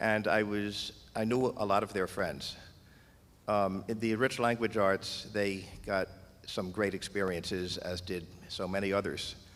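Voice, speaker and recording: A man's fairly low-pitched voice at a moderate pace, with fairly even intonation. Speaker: audience member asking question. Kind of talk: audience question at public forum.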